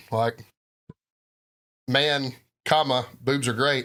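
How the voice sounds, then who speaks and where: A man with a Southern US accent, very slow and monotone, flat, at a medium pitch, with a bright, sharp tone. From US South. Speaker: podcast co-host. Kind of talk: casual chat.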